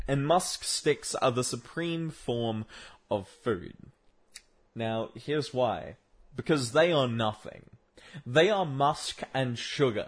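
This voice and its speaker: With an Australian accent, a man talks at a medium pitch with ordinary pitch variation. His pace is very slow, broken by long, frequent pauses. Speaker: solo podcaster. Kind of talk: casual monologue. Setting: home room with desk. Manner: rambling with frequent fillers.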